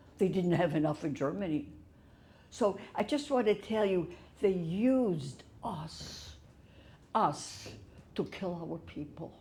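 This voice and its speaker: Very slowly and with long, frequent pauses, a woman speaks in a somewhat breathy voice with a fairly low pitch, lively intonation and a dark, mellow tone. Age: 80s+. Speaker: Holocaust survivor. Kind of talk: testimony talk to audience.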